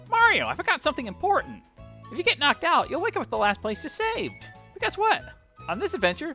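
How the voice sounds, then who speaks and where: A put-on character voice speaks at a high pitch and a very fast pace. Faint music plays in the background. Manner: acted character voice.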